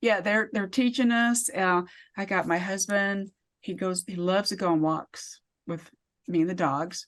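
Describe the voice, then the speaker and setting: With an American accent, a woman talks at a moderate pace in an ordinary speaking voice with ordinary pitch variation against a quiet background. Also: medium pitch for a woman. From US (military bases, army brat). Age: 50s. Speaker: author and wellness speaker. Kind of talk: interview.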